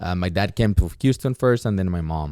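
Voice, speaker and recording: A man with a Mexican accent at a very fast pace, a dark, mellow tone, and a very clean recording with a silent background. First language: Spanish. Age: 20s. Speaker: entrepreneur and former teacher. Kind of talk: podcast interview. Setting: studio.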